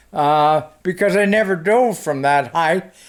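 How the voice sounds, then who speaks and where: With an American accent, a man talks using ordinary pitch variation. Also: very clean recording, silent background. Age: 80s+. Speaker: war veteran. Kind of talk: interview answer.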